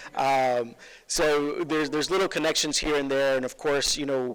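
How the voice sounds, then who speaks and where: A man's fairly high, flat, monotone voice with an American accent, at a fairly quick pace. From Los Angeles, Mexican family. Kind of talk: speech at awards ceremony. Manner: hesitant, many fillers.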